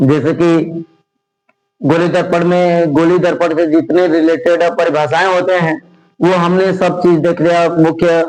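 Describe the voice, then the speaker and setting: This man speaks in a high voice with monotone, flat intonation. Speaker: teacher. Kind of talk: lecture.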